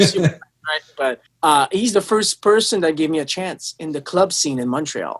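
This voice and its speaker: This man speaks in a Quebec accent at a high pitch for a man, with ordinary pitch variation. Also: moderate pace. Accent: French-Canadian accent in English. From Quebec City, Canada. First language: French. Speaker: touring guitarist. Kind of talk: interview.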